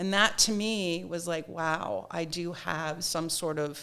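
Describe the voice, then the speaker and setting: A woman's fairly low voice with a Nova Scotia accent. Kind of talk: interview.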